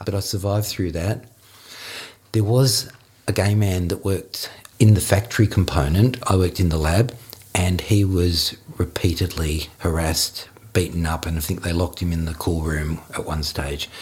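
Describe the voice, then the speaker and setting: This man has a very deep, low pitch and ordinary pitch variation. He speaks with an Australian accent. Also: moderate pace. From Australia, Melbourne. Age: 50s. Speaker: interviewee sharing life story. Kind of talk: personal storytelling interview. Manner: halting.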